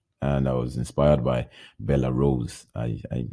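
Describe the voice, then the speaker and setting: A man speaks with a very deep, low pitch and a dark, mellow tone. His intonation is fairly even, with vocal fry. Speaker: podcaster. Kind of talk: casual monologue, podcast intro. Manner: halting, hesitant, self-deprecating.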